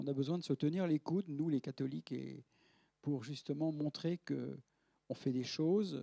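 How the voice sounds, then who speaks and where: In a dry, close recording with no echo, a man speaks at a moderate pace with a fairly high pitch, ordinary pitch variation and a dark, mellow tone. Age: 70s. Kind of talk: lecture. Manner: halting, with frequent repetitions and fillers.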